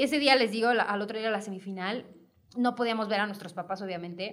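A woman talks at a very fast pace. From Mexico, Hidalgo (Pachuca). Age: 20s. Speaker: model. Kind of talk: casual chat.

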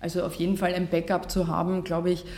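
The tone is dark and mellow. A woman is speaking. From Austria, Vienna and Vorarlberg. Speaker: journalist and podcaster. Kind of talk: workshop talk. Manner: polished radio-style delivery; hesitant with fillers.

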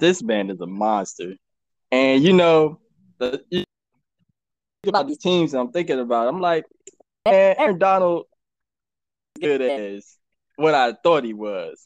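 With a fairly high pitch for a man and very wide pitch swings, a man speaks at a fairly slow pace broken by long, frequent pauses. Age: younger than 43. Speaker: sports podcast co-host. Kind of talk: casual chat.

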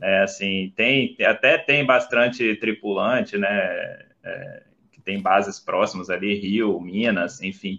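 A man speaking at a very slow pace, with big swings in loudness. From Brazil, Vila Velha, Espírito Santo. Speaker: flight attendant. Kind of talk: interview on a livestream.

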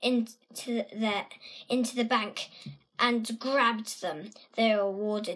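Fairly even intonation in plain reading aloud

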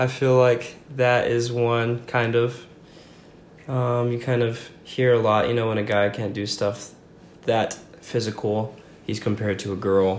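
A man speaks at a fairly slow pace with long, frequent pauses. His medium-pitched voice is monotone and flat, with audible room echo. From Franklin, Virginia. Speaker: college student. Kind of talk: interview.

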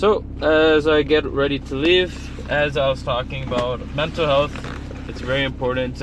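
Noticeable background noise accompanies a man speaking at a moderate pace. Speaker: podcast host and student. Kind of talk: casual monologue. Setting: in a car at a traffic stop. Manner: rambling with many fillers.

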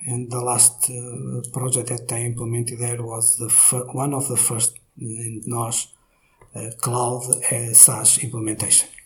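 A man speaks with a Portuguese accent at a medium pitch and a fairly slow pace. His intonation is monotone and flat, and there is noticeable background noise. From Portugal, Braga. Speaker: IT company director. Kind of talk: interview. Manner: halting.

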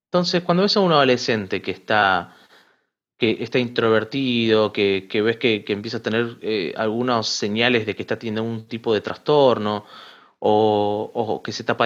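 Over a quiet background, a man with an Argentine accent speaks at a moderate pace in a medium pitch with ordinary pitch variation. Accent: Argentine Spanish (voseo). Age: 20s. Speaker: writer and seminary student. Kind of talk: interview testimony.

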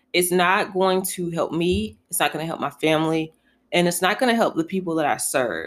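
A woman with an American accent speaks in a normal speaking voice at a fairly quick pace, with a fairly low pitch and ordinary pitch variation. The recording is very clean, with a silent background. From North Carolina (Elm City); later Buffalo, New York. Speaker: podcast host. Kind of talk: casual solo podcast monologue. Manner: conversational, with frequent fillers.

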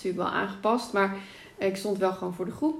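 Recorded with audible room echo, a woman speaks at medium pitch with ordinary pitch variation. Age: 30s. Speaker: author and pregnancy yoga teacher. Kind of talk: casual interview.

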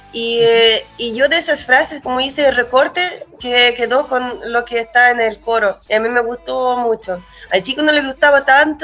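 Speech in a Russian accent with ordinary pitch variation, over noticeable background noise. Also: woman. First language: Russian (speaking Spanish). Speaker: musician and producer. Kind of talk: casual interview.

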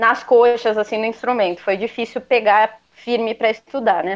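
This woman has an ordinary speaking voice. Her pitch is fairly high and her pace moderate. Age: 20s. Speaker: guitarist and music school owner. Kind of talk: casual interview.

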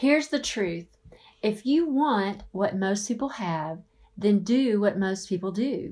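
A woman with a Southern US accent talks at a fairly slow pace and a medium pitch. Her tone is dark and mellow, and her intonation is lively. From US South. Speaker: author and marriage speaker. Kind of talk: conference talk.

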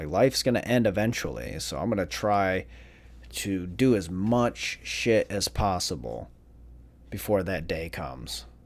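Very deep and low in pitch, a man speaks at a fairly slow pace with vocal fry and very wide pitch swings, on a very clean recording with a silent background. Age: 30s. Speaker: solo podcaster. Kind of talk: casual solo monologue.

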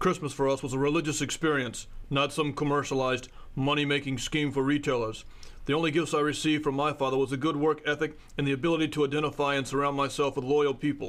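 Using a gruff put-on character voice, a man rattles along at a very fast pace in a fairly high pitch with very even loudness. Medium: audio drama. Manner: gruff, curt, domineering.

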